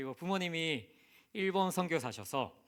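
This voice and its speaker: A man speaks with a Busan accent. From South Korea, Busan. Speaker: missionary. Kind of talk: sermon.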